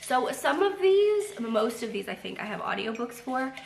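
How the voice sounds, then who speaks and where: A woman's voice with lively intonation, noticeable background noise and audible room echo. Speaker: booktuber. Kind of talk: casual vlog chat. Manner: chatty with many fillers.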